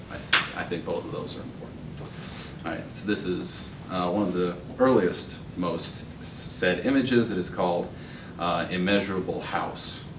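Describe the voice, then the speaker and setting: Noticeable background noise behind a man's very deep, low voice, moving at a moderate pace. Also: ordinary pitch variation. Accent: American. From Utah. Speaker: open mic poet. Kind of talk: poetry reading. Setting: stage with audience. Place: hall. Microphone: podium.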